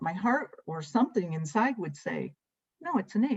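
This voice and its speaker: A woman with a somewhat breathy voice, medium pitch, very wide pitch swings, and a fairly slow pace. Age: 70s. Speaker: guest sharing faith journey. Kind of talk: testimony.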